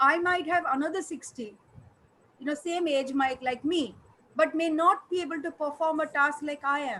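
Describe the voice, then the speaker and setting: In a raised, projected voice, a woman speaks with a high pitch, a bright, sharp tone and ordinary pitch variation. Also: moderate pace. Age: 60s. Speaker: doctor. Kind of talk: lecture.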